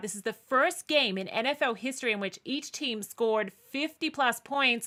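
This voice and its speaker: A woman's high, bright, sharp voice with an Australian accent, at a moderate pace with ordinary pitch variation, on a very clean recording over a silent background. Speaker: sports show host. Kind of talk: casual chat.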